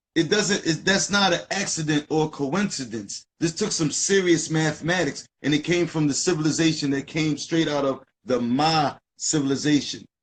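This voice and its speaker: With an American accent, a man speaks at a moderate pace in a fairly high pitch, with ordinary pitch variation and very even loudness. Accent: Philadelphia accent, people notice it. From US, North Philadelphia. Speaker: live stream co-host, esoteric teacher. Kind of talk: casual live stream discussion. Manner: animated.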